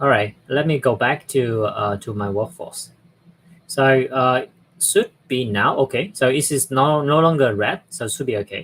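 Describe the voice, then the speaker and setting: This man has a fairly high pitch and lively intonation, speaking at a moderate pace. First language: not English. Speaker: software platform presenter. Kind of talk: live tutorial. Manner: halting.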